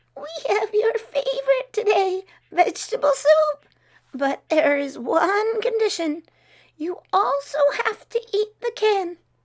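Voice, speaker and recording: In a put-on character voice, a woman sounds squeaky, with an extremely high pitch, at a fairly slow pace. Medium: read story.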